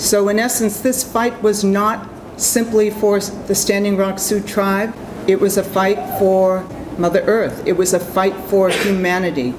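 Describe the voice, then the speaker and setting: A woman with a Boston accent speaks at a fairly slow pace, her pitch medium and her intonation fairly even. Her loudness stays very even, with audible room echo and noticeable background noise. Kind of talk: convention speech.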